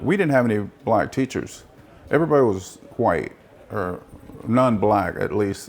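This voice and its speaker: A man with an American accent speaks at a moderate pace and medium pitch with lively intonation. His speech has long, frequent pauses. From Peoria, Arizona. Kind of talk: oral history interview answer. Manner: hesitant, conversational.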